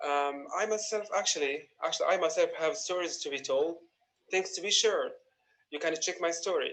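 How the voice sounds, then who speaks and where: A man is speaking. He has an Arabic accent. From Gaza. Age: 20s. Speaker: young writer. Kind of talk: recorded personal testimony.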